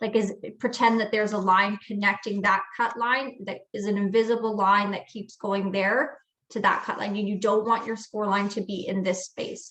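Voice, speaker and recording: Here a woman with an unremarkable speaking voice talks at medium pitch and a moderate pace, her intonation fairly even. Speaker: craft instructor. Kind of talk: tutorial.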